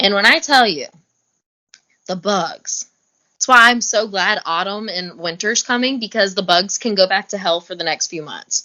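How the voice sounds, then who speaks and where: A woman speaks at a moderate pace with ordinary pitch variation. Her tone is animated. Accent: Southern US. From US South. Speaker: reality TV competitor. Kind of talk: podcast interview.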